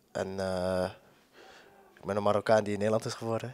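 A man talks at a fairly quick pace in a dry sound with no echo against a quiet background. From Amsterdam, Netherlands; Netherlands. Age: 20s. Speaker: footballer. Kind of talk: interview. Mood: relaxed, friendly, smiling. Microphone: handheld.

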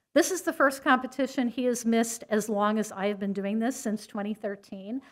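A woman talks, her pitch varying in an ordinary way, with a quiet background behind her. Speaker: event host announcing awards. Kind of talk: award ceremony speech. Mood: warm, appreciative. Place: hall. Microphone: podium.

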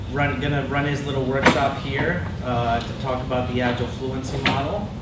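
Loud background noise and audible room echo fill the recording. A man talks at a fairly slow pace. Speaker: meetup host. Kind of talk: event introduction. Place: meeting room. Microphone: camera far.

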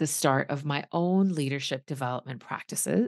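A woman's very deep, low-pitched voice at a moderate pace, dry with no echo, over a quiet background. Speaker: leadership coach and former executive. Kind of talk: casual interview. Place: home room. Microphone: video call.

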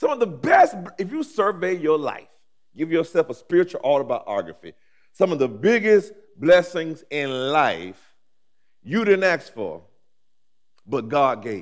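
A man's high-pitched, warm voice with very wide pitch swings, a fairly slow pace and long, frequent pauses against a quiet background. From Alabama, US South. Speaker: pastor. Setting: seminary chapel with audience. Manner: rhythmic, repetitive preaching cadence with rising emphasis; warm, humorous asides with laughter. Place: church. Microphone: headset.

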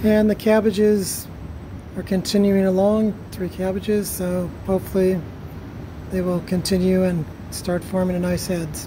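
A woman talks at a fairly slow pace in a flat monotone over noticeable background noise. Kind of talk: casual vlog chat. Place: garden. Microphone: phone near.

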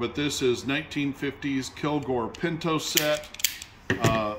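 Through loud background noise, a man with an American accent talks at a very slow pace at a medium pitch. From Texas. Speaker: auctioneer. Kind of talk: product showcase video. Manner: casual, frequent filler 'uh'. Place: shop.

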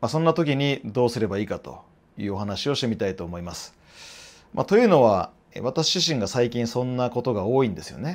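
The man's loudness rises and falls in big swings. He speaks fairly quickly. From Japan. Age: 40s. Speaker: fitness trainer and YouTuber; fitness trainer, YouTuber. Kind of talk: casual monologue to camera. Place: office. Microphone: lapel.

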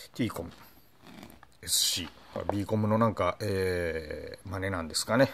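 Over light background noise, a man speaks at a fairly slow pace, with long, frequent pauses. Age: 50s. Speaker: motorcycle blogger demonstrating gear. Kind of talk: product tutorial; tutorial. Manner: frequent filler hesitations; polite formal. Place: home room. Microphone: phone near.

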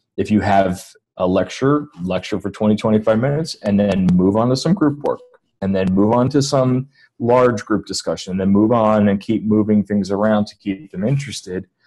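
A man's fairly low voice with ordinary pitch variation, at a moderate pace, over a quiet background. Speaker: guest. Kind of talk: interview answer. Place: home room. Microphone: video call.

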